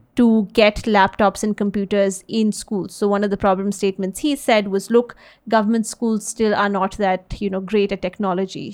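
Over a very clean recording with a silent background, a woman with an American accent talks at a moderate pace in a medium pitch, her intonation flat and monotone. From US, early childhood in Delhi. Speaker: social enterprise CEO. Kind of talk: interview. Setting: podcast.

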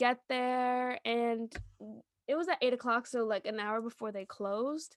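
A woman speaks at a fairly slow pace and a fairly high pitch in a bright, sharp tone with ordinary pitch variation, her sound dry and close with no echo against a quiet background. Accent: American. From New York. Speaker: podcast co-host. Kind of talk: casual chat. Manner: animated.

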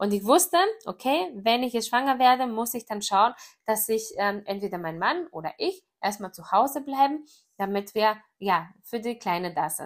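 A woman in a Greek accent, fairly high-pitched, with lively intonation at a moderate pace. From Greece. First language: Greek (speaking German). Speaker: network marketer. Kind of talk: personal story monologue. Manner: casual with many fillers.

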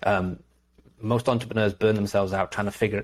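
A man's fairly low voice, very fast, with fairly even intonation. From Liverpool, England. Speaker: entrepreneur and author. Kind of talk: casual interview.

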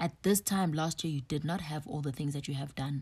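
At a moderate pace, a woman speaks in a very deep, low, somewhat breathy voice with ordinary pitch variation. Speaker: podcast host. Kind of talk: solo podcast monologue. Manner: casual, filler-heavy.

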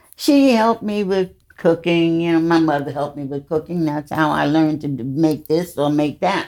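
In a New York accent, a woman speaks with a very deep, low pitch and ordinary pitch variation. She keeps a moderate pace with hardly any pauses. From US Northeast, the Bronx, New York. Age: 90s. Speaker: host's mother. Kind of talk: casual chat.

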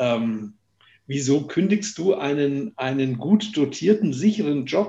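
At a fairly slow pace, the speech comes out somewhat breathy. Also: man. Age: 50s. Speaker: company founder. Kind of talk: interview.

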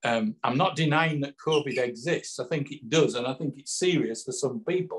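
A man speaks with a Yorkshire accent. His voice is somewhat breathy and fairly high in pitch. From northern England. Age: 60s. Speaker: author. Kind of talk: interview. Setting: video call.

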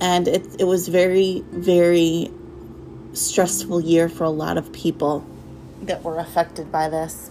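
Noticeable background noise sits behind a woman with a fairly low pitch. She talks at a fairly slow pace with monotone, flat intonation. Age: 30s. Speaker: podcast host. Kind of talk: religious monologue. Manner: hesitant, many fillers.

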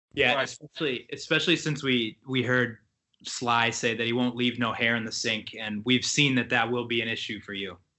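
This man has a normal speaking voice pitched in the medium range. He talks at a moderate speed, and his intonation stays fairly even. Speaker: podcast host. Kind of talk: casual banter among friends.

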